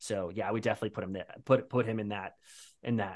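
Fairly low in pitch, a man with an ordinary speaking voice talks with fairly even intonation. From New Jersey, US. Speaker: voice actor. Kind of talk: casual interview chat.

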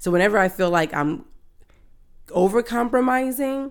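A woman speaks with lively intonation. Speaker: podcast co-host. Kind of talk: casual chat. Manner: loud.

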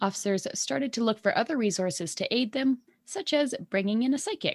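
A woman with a Canadian accent speaks at a fairly quick pace and a fairly high pitch. Her pitch swings very widely, with vocal fry. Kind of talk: casual chat podcast. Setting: video call. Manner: chatty, joking.

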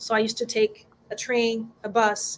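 Her pitch fairly high, a woman speaks with a Brazilian accent. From Brazil, João Pessoa. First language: Portuguese. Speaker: violinist. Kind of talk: interview. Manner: warm, enthusiastic.

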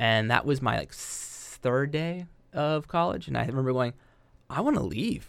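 A man with an American accent at medium pitch and moderate pace, with ordinary pitch variation, in a very clean recording with a silent background. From southwest Ohio (Yellow Springs). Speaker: elementary school educator. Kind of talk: casual chat.

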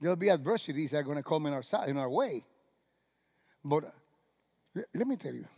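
Speaking at a moderate pace, a man with a Cuban accent uses lively intonation and a fairly high pitch. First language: Spanish. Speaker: pastor. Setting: church with live congregation. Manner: halting, self-correcting, restarts words mid-phrase; animated, exclamatory, punctuated by laughs and sudden hushes.

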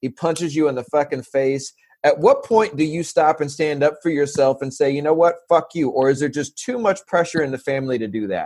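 Using a normal speaking voice, a man with an American accent talks at a fairly quick pace with hardly any pauses, at a fairly high pitch with ordinary pitch variation. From San Diego, California. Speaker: podcast host. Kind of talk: casual interview chat.

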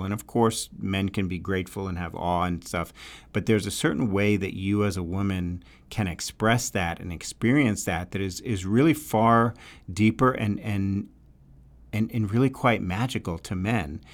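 In a very clean recording with a silent background, a man with a slight New York accent speaks fairly slowly at a fairly low pitch with ordinary pitch variation. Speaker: relationship podcast host. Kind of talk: solo talk, advice podcast. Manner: conversational, filler words, hesitant.

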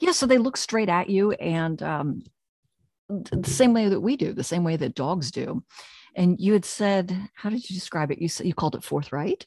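Lively intonation and a somewhat breathy sound at a moderate pace, with an American accent. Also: woman, medium pitch for a woman. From US Northeast, Pennsylvania/New Jersey area. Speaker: podcast host, author and dog trainer. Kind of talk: casual interview chat.

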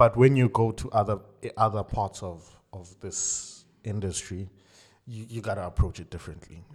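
The voice is somewhat breathy, with fairly even intonation and a moderate pace. Loudness swings widely on a very clean recording with a silent background. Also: man, fairly low pitch for a man. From South Africa, raised in Cape Town. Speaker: session pianist and music producer. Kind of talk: casual interview.

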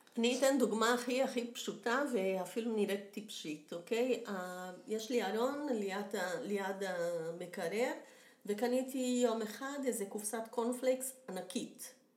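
A woman speaks very slowly in a fairly high pitch, with ordinary pitch variation. Audible echo fills the room. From Brazil. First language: Portuguese (speaking Hebrew). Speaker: professional home organizer. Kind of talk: interview.

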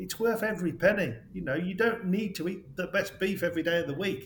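A man with a high pitch and ordinary pitch variation talks very fast. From West Midlands, England. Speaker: farmer. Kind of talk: casual interview chat. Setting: remote call.

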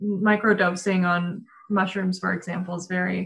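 A woman's somewhat breathy voice with fairly even intonation and an American accent. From Denver, Colorado. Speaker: blogger and marketer. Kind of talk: casual interview chat.

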